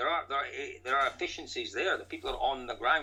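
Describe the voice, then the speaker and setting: A man speaks with a Scottish accent. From Scotland. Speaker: rally commentator. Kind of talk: podcast interview answer.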